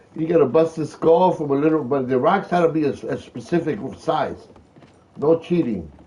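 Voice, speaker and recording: A man with an American accent speaks at a moderate pace with ordinary pitch variation. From Philadelphia, US Northeast. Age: 60s. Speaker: gaming livestreamer. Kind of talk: live gameplay commentary with chat reading. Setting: home livestream. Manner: casual, chatty.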